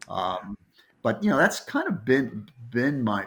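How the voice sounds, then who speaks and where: A man speaking at a very slow pace. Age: 70s. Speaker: nonprofit youth ministry leader. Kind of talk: podcast interview.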